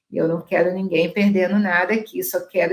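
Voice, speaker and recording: The woman's voice is somewhat breathy. Her intonation stays fairly even. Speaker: dentist and laser lecturer. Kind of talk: online lecture with sales pitch.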